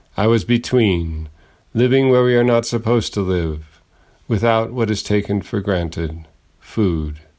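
In an American accent, a man with an ordinary speaking voice and a fairly low pitch talks at a fairly slow pace with ordinary pitch variation. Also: very clean recording, silent background. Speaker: radio host and poet. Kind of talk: dramatic narration, personal essay read aloud. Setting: radio studio. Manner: formal, measured.

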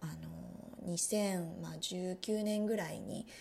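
A woman speaks at a fairly low pitch with a somewhat breathy quality. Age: 30s. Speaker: podcast host, wellbeing coach. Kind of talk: solo podcast talk.

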